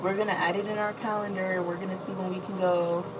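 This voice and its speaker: A woman with a medium pitch speaks at a moderate pace. Audible room echo surrounds her voice. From US Midwest. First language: not English. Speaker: livestreamer. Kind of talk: casual chat. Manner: animated.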